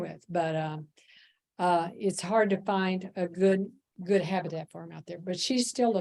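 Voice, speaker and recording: Using a normal speaking voice, a woman with an American accent talks at a moderate pace with fairly even intonation. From Missouri. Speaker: bird trail coordinator. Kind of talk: moderating a club presentation.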